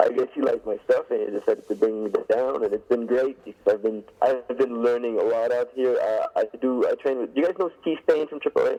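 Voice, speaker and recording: A man with a Quebec accent speaks at a fairly quick pace with hardly any pauses. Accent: French Canadian accent in English. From Quebec, Canada. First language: French. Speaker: pro wrestler. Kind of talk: interview.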